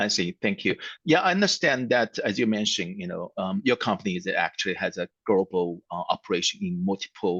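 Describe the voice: The voice is fairly bright with a slightly husky edge and lively intonation. It moves at a fairly quick pace, with a dry, close sound and no echo. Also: man, low pitch for a man.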